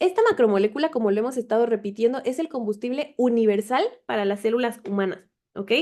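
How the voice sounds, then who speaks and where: Her pace is very fast. A woman with a fairly high pitch speaks with ordinary pitch variation. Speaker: biochemistry tutor. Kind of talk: online class lecture.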